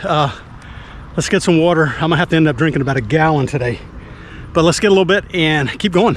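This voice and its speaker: A man talks at a very fast pace while noticeable background noise continues behind him. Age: 60s. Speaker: skateboarding vlogger. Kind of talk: casual vlog commentary. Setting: outdoors at a skatepark. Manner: casual, hesitant with many fillers.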